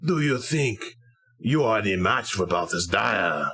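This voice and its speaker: This put-on character voice is raspy and growling, with very wide pitch swings, a fairly slow pace and very even loudness. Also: man, medium pitch for a man. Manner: growling, menacing, arrogant.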